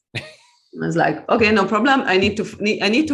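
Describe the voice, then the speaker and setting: A woman with a Hungarian accent against a quiet background. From Hungary. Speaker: author and EFT practitioner. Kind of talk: interview conversation.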